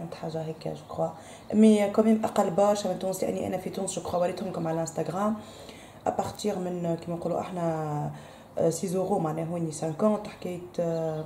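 A woman's fairly low voice at a fairly quick pace, flat and monotone in intonation, with audible room echo and light background noise. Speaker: home vlogger. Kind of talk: casual vlog chat. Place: kitchen. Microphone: phone near.

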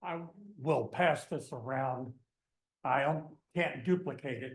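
This man speaks at a very slow pace with an American accent. His voice is somewhat breathy and fairly high in pitch. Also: ordinary pitch variation. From eastern US. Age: 70s. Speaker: local business owner, public commenter. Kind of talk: public comment. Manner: blunt.

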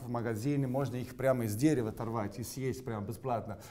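A dark, mellow tone marks this man's voice. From Sicily, Italy. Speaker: chef. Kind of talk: cooking demonstration. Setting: kitchen studio. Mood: playful, upbeat. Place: kitchen.

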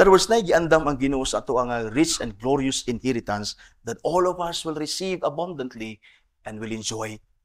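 Lively intonation from a man at a fairly quick pace, with a quiet background. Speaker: pastor. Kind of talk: sermon. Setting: church. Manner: earnest, preaching, mixes English and Cebuano. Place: church. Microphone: podium.

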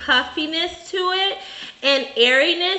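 High-pitched female speech, ordinary in its pitch movement, with room echo clearly audible. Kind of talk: cooking demonstration explanation. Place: bar.

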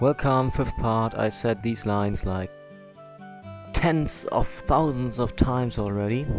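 Over clear background music, a man speaks at medium pitch with a dry sound and no echo. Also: ordinary pitch variation, fairly slow pace. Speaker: let's play gamer. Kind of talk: casual gameplay commentary.

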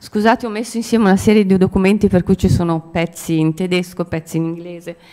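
A woman with a medium-pitched voice talks at a very fast pace, her intonation fairly even. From Italy. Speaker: architect; speaker, architecture professor. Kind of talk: conference talk. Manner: halting. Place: hall. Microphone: podium.

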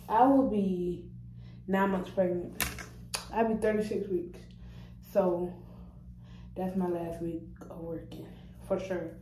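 Speaking at a fairly slow pace with fairly even intonation, a woman with a fairly low pitch is heard through audible room echo and light background noise. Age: young. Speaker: vlogger and restaurant server. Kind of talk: casual vlog monologue. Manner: casual, rambling, repetitive. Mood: relaxed, playful. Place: bathroom. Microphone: phone near.

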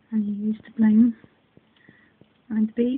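A woman with a Northern Irish accent and a fairly high pitch, with light background noise. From Northern Ireland. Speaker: craft hobbyist. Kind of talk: casual craft unboxing talk to camera. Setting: phone recording at home. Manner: excited, chatty. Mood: delighted, excited. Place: home room. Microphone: phone near.

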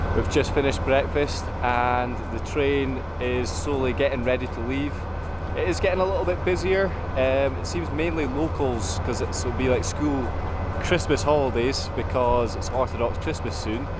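Amid loud background noise, a man speaks at a moderate pace in a dry sound with no echo. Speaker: travel vlogger. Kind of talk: casual vlog chat. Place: station. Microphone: phone near.

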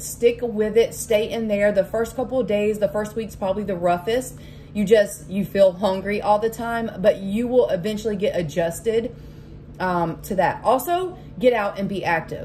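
A woman speaks at a moderate pace with ordinary pitch variation over light background noise. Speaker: vlogger sharing weight loss tips. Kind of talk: casual vlog chat. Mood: warm, encouraging. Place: kitchen. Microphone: phone near.

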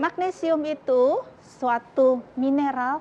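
A woman speaks in a high voice with ordinary pitch variation over light background noise. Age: 50s. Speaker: doctor; TV guest. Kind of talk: talk show interview. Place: studio.

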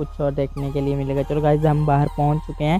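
Faint music plays behind a dry sound with no echo. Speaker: travel vlogger. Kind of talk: casual vlog chat. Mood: excited, admiring. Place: car. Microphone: phone near.

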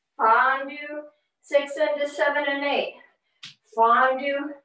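Over a quiet background, a woman's high-pitched voice carries audible room echo. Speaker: ballet teacher. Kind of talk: counting and marking ballet combinations while dancing. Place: home room. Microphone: video call.

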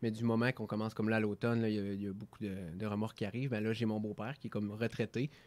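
The speaker talks at a very fast pace in a Quebec accent. The intonation stays monotone and flat. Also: man, fairly low pitch for a man. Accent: Québécois French. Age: 30s. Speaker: entrepreneur; guest. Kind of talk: radio interview; interview answer. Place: studio. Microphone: studio mic.

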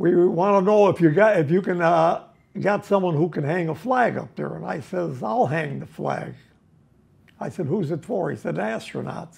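At a moderate pace, a man with a Chicago accent talks in a high pitch with lively intonation. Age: 80s+. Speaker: ironworker. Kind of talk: interview answer. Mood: amused, storytelling. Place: home room.

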